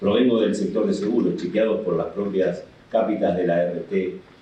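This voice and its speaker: There is noticeable background noise and audible room echo. A man talks at a fairly slow pace. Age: 60s. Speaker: union leader and labor lawyer. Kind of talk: conference talk. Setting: in-person panel at a law association.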